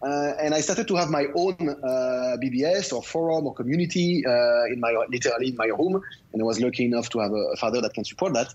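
In a French accent, a man talks at a fairly quick pace with hardly any pauses, at medium pitch and with lively intonation. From France, Lyon. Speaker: tech entrepreneur. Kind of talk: interview. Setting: remote call.

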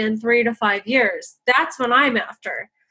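Her voice is high-pitched, with a bright, sharp tone. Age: 30s. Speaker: real estate investor, capital raiser. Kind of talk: interview.

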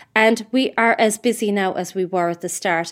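In an Irish accent, a woman of medium pitch talks at a moderate pace with ordinary pitch variation. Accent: Irish (Mayo). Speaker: entrepreneur. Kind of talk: interview. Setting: remote recording. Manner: halting.

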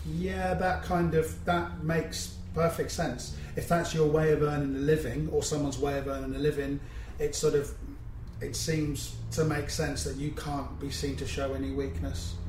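A man with a West Country accent talks at a moderate pace. Audible room echo and noticeable background noise surround him. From England, Cornwall. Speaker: podcast host. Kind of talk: interview.

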